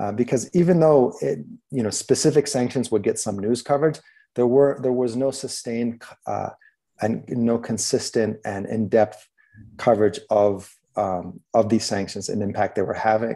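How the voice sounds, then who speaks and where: A man's medium-pitched voice with a dark, mellow tone and ordinary pitch variation, over a quiet background. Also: moderate pace. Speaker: documentary filmmaker and journalist. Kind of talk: online talk. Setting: video call.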